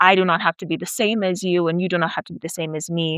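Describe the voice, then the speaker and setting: A woman with an American accent, a fairly low pitch and a bright, sharp tone, in a dry, close sound with no echo. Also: very clean recording, silent background. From South Africa (Nigerian parents, US-born). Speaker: PhD student and researcher. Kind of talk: interview. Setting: away from usual studio.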